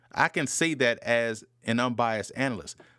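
A man with an American accent speaks at a medium pitch with fairly even intonation. The recording is very clean, with a silent background and a dry, close sound without echo. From US South, New Orleans. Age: 30s. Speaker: football analyst podcast host. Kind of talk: solo podcast commentary.

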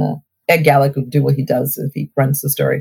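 A woman at a fairly quick pace, with a dry, close sound and no echo. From Ohio (Cleveland area), born in Alabama. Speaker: mayor. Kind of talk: interview. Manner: animated.

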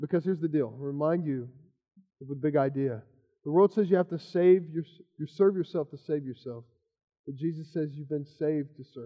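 A man with a fairly high pitch talks at a fairly quick pace, with ordinary pitch variation, long and frequent pauses, and big swings in loudness. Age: 30s. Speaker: pastor. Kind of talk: sermon.

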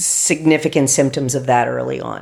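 A woman with an American accent and a very deep, low voice speaks at a fairly slow pace. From US, West Virginia. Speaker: pediatric doctor. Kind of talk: interview.

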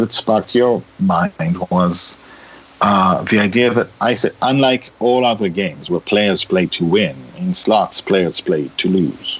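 Speaking with an Israeli accent at a fairly slow pace, the voice holds very even loudness and lively intonation amid noticeable background noise. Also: man. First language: Hebrew. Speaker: writer and director. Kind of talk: interview conversation.

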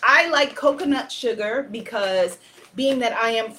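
The voice reads aloud naturally.

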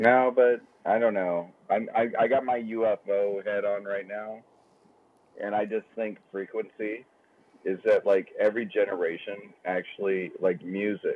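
A man with a normal speaking voice speaks at a fairly slow pace. His pitch is fairly low and his intonation fairly even. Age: 40s. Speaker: golf club sales rep, podcast co-host. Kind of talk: casual chat. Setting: phone call. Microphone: sounds gargly on the phone.

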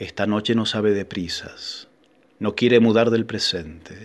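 A man speaks in a solemn tone in a very clean recording with a silent background. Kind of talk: sermon in verse, a rhymed Holy Thursday proclamation delivered as a sacred poem. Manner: intensely devout, vehement, addressing the Lord and the moon directly.

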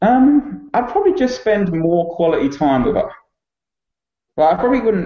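A man with an Essex accent talks at a moderate pace, his high pitch moving in very wide swings. His loudness stays very even, broken by long, frequent pauses. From England, Essex. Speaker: dog trainer. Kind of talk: casual chat.

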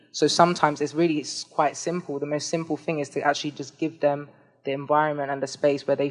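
Speaking very fast in a London accent, a woman uses a very deep, low pitch and a monotone, flat intonation. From London, England. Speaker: community organizer. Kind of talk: live panel discussion. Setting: stage with audience.

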